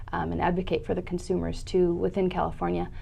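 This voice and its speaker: Very fast speech in a US Midwestern accent with audible room echo. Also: woman. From US Midwest (Indianapolis, Cleveland). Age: 30s. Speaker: nonprofit public affairs director. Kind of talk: interview.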